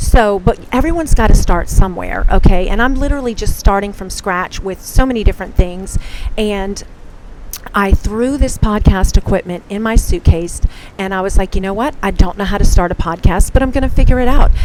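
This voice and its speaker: A woman at medium pitch talks at a fairly quick pace with lively intonation and big swings in loudness. Noticeable background noise is present. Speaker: podcast host. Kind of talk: casual monologue. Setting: outdoors on a hotel balcony. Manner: fast.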